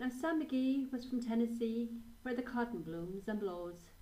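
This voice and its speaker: A woman with an Irish accent speaks fairly slowly with ordinary pitch variation over noticeable background noise. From Ireland. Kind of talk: poetry reading.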